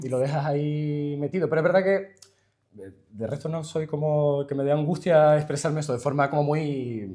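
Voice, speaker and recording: Fairly high-pitched male delivery, an ordinary speaking voice, moderate in pace and with ordinary pitch variation. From Canary Islands. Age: 20s. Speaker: linguist and poet. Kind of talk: interview answer. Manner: casual.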